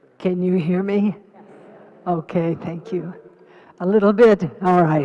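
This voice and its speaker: Noticeable background noise accompanies a woman speaking at a fairly slow pace with fairly even intonation. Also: medium pitch for a woman. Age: 80s+. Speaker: Buddhist teacher and activist. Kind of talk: panel discussion.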